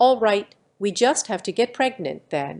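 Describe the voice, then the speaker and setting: A woman uses a put-on character voice at a medium pitch, speaking at a moderate pace. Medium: read story. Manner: bubbly, enthusiastic.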